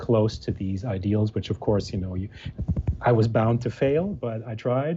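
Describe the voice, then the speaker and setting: The voice belongs to a man at medium pitch. It is somewhat breathy, with a dark, mellow tone. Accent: American. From Germany. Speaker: musician and architect. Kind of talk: interview. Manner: halting, many fillers.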